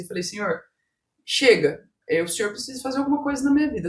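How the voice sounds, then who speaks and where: A woman speaks with very wide pitch swings. Her voice is somewhat breathy. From Brazil, Mato Grosso do Sul. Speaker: business owner and coach. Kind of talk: podcast interview, personal testimony.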